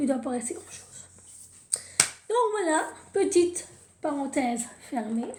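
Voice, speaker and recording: Dark, mellow tone at a fairly slow pace, with audible room echo. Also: woman. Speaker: tarot card reader. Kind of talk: tarot reading video. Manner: halting, with repetitions and fillers.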